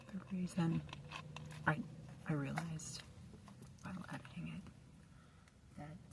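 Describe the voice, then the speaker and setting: A soft-spoken woman talks at a fairly slow pace. Noticeable background noise can be heard. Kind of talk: casual talk to camera. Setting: inside a parked car. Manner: soft-spoken, quiet.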